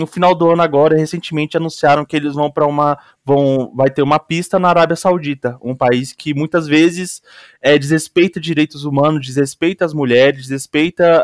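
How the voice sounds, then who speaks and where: In an ordinary speaking voice, a man talks at a moderate pace with fairly high pitch, in a very clean recording with a silent background and a dry, close sound with no echo. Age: 20s. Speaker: student podcast host. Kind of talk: casual interview.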